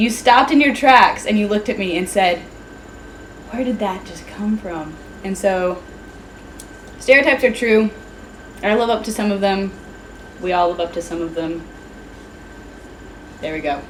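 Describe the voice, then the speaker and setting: A woman with an American accent and a medium pitch speaks at a moderate pace with lively intonation and long, frequent pauses over noticeable background noise. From US South, rural Georgia. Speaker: student club president. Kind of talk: casual interview. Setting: video interview while tasting hot sauces.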